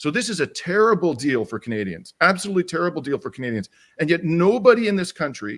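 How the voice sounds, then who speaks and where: A man's high-pitched voice at a very fast pace with very wide pitch swings, on a very clean recording with a silent background. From Canada. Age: 60s. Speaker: lawyer and activist. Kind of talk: political discussion. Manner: animated.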